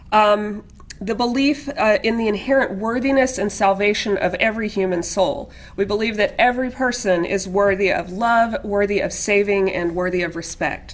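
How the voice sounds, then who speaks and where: Her voice is a woman's at a medium pitch, with ordinary pitch variation. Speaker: Unitarian Universalist panelist. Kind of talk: interfaith panel talk. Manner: fast.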